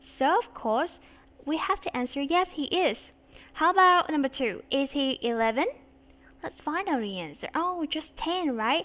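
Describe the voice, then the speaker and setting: A woman with a Vietnamese accent, high-pitched and bright, sharp in tone, with very wide pitch swings at a fairly slow pace. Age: 30s. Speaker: English teacher. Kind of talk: online English lesson. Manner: slow and clear.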